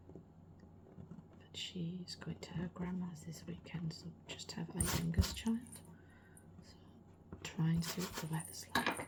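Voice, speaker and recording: Someone with a British accent speaks at a very slow pace with long, frequent pauses, against noticeable background noise. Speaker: ASMR artist. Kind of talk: casual chat over ASMR art sounds. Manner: louder than usual for ASMR, natural speaking level.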